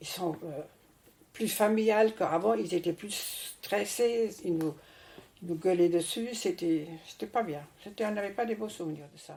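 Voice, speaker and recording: Her voice is medium in pitch with a dark, mellow tone. The woman speaks at a fairly slow pace with ordinary pitch variation. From France. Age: 80s+. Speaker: retiree telling her life story.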